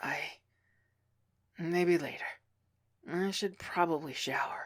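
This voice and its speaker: A raspy, female-sounding put-on character voice at a middle pitch speaks at a fairly slow pace in a very clean recording with a silent background. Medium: read story.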